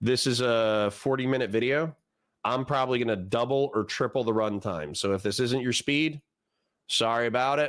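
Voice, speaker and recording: A moderate pace with ordinary pitch variation and very even loudness, an unremarkable speaking voice, on a very clean recording with a silent background. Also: man, medium pitch for a man. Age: 30s. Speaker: political streamer. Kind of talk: live stream reaction commentary. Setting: live stream with chat. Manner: casual, conversational.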